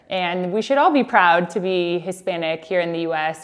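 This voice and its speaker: A woman with a Californian accent, fairly low-pitched, at a moderate pace against a quiet background. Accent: Californian American English. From Southern California (San Diego). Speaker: sports PR executive. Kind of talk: interview monologue.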